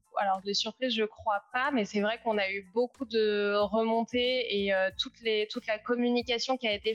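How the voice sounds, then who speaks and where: A woman speaks fairly slowly at a fairly high pitch, in a monotone, flat intonation. The sound is dry and close with no echo, with music in the background. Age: 30s. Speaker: startup founder and CEO. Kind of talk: live interview.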